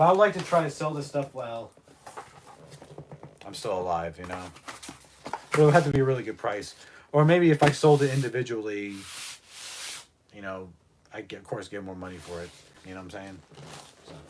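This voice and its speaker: Amid noticeable background noise, a man talks fairly quickly at a medium pitch, with very wide pitch swings, big swings in loudness and long, frequent pauses. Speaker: live streamer and record collector. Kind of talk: casual livestream chat.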